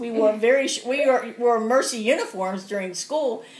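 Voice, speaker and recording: A woman with a US Midwestern accent talks at a moderate pace. Her fairly high pitch shows ordinary variation. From Cincinnati, Ohio (US Midwest). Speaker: grandmother interviewed for school project. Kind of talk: casual interview.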